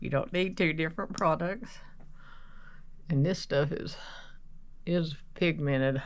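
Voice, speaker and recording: The speech moves at a fairly slow pace with long, frequent pauses, and room echo is audible. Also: woman, fairly low pitch for a woman, ordinary pitch variation. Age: 60s. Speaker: makeup vlogger. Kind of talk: casual get-ready-with-me tutorial. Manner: rambling, conversational.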